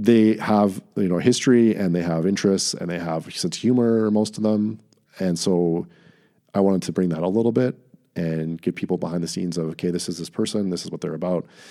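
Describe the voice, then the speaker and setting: A man's very deep, low voice with a dark, mellow tone, at a fairly quick pace, in a very clean recording with a silent background. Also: ordinary pitch variation. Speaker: political reporter. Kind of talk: casual interview conversation. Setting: studio.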